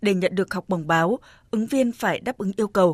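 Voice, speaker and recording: A woman with a plain, everyday voice speaks at a medium pitch with ordinary pitch variation, in a very clean recording with a silent background and a dry, close sound with no echo. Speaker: radio announcer. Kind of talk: scripted news reading.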